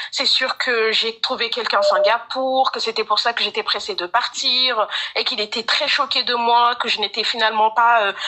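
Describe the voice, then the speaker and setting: A woman talks at a moderate pace with a fairly high pitch. Background noise is noticeable. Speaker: caller seeking advice. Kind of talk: testimony.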